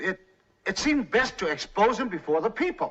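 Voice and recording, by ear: A man puts on a character voice pitched high, with big pitch swings and a moderate pace. His tone is bright and sharp with a slightly husky edge.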